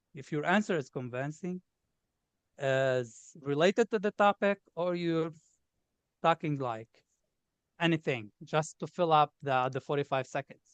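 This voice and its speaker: A man speaks with a Lebanese accent at a fairly slow pace, his pitch fairly high and its variation ordinary. Long, frequent pauses break up his speech, and the sound is dry and close with no echo. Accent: obvious Lebanese. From Lebanon. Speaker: test taker sharing exam success. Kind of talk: interview.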